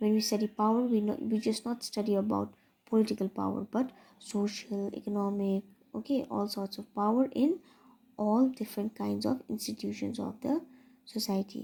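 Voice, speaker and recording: Over a silent background on a very clean recording, a woman speaks at a fairly high pitch in a dark, mellow, somewhat breathy tone. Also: fairly even intonation. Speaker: teacher. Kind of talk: lecture. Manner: fast.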